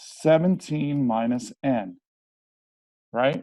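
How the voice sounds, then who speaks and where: This man has a fairly high pitch and a dark, mellow tone. His pitch swings very widely. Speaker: chemistry tutor. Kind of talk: tutorial. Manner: animated.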